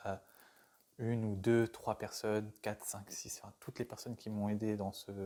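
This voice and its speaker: A man's fairly low, dark and mellow voice in a monotone, flat intonation. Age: 20s. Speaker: trainee youth educator. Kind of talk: interview testimony. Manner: halting, many hesitations and repetitions.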